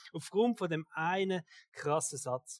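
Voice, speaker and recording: Recorded with a dry, close sound and no echo, a man speaks in a Swiss accent at a high pitch. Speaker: pastor. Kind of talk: sermon. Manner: casual.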